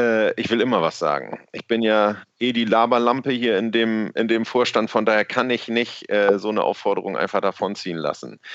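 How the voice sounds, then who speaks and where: At a moderate pace and medium pitch, a man talks with ordinary pitch variation and hardly any pauses. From Worpswede area, northern Germany. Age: 40s. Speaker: local party spokesperson. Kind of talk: casual interview.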